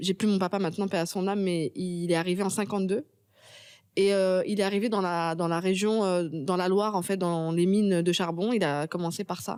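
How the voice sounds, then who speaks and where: On a very clean recording with a silent background, a woman uses a plain, everyday voice at medium pitch, moderate pace, and fairly even intonation. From Paris suburbs (Pantin, Seine-Saint-Denis), France. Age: 30s. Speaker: novelist and screenwriter. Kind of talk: interview.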